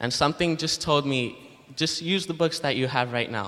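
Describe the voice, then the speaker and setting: Speaking in an ordinary speaking voice, this man uses ordinary pitch variation. His pace is fairly quick. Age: young. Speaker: student book canvasser. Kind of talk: testimony. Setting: church.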